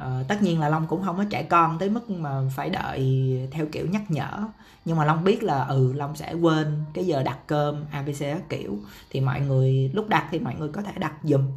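Audible room echo around a man's fairly high voice, moving at a moderate pace. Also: ordinary pitch variation. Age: 30s. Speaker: podcast host, marketer. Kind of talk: solo podcast monologue. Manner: casual, many fillers.

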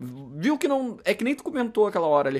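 With very wide swings in pitch, a man talks at a moderate pace in a very clean recording over a silent background. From Rio Grande do Sul, southern Brazil. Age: 30s. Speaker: podcast co-host. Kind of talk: casual chat.

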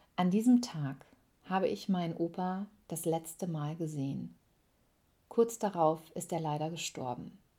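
Pausing long and often, a woman with a fairly low pitch and a dark, mellow tone speaks at a fairly slow pace. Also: lively intonation. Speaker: podcaster. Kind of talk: personal storytelling monologue.

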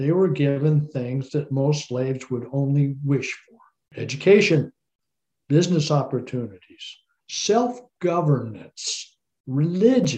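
A man's fairly high, somewhat breathy voice with a dark, mellow tone at a fairly slow pace. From Colorado. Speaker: descendant of historical figure, tour operator. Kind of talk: interview, historical storytelling.

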